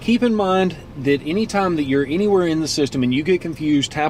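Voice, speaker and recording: This man talks at a fairly quick pace in a Southern US accent, his intonation lively. Background noise is noticeable. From US South. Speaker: car dealership video host. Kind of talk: tutorial.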